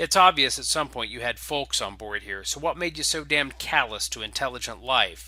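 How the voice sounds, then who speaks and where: A man puts on a gruff, growling character voice at a fairly high pitch, speaking at a fairly quick pace with hardly any pauses. The recording is very clean, with a silent background. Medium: actual play. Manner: blunt, gruff, snarling.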